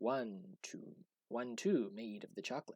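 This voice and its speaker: A put-on character voice moves at a moderate pace. Its pitch swings very widely. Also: man. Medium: read story. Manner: halting broken grammar.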